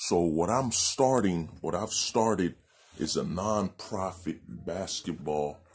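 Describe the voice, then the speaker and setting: A man's very slow delivery carries ordinary pitch variation. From Haiti. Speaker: nonprofit founder. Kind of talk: appeal video monologue. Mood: earnest, thoughtful. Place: home room. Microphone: phone near.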